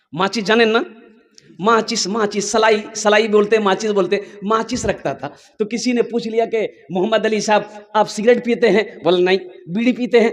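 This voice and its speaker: Over noticeable background noise, a man speaks in an animated tone at a high pitch. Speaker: Islamic preacher. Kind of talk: religious sermon with humor, addressing a live crowd. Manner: animated, emphatic, humorous.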